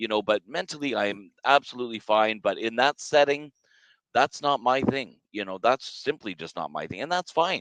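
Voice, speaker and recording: In a quiet setting, a man talks at a moderate pace with a medium pitch. He has an unremarkable speaking voice with lively intonation. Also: dry, close sound with no echo. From Canada. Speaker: podcast co-host, automotive businessman. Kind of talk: casual podcast discussion. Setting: studio set.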